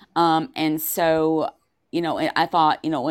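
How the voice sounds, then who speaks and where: A woman with an American accent and a very deep, low pitch is heard on a very clean recording with a silent background. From US South, Upper East Tennessee. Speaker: novelist. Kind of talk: interview. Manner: halting.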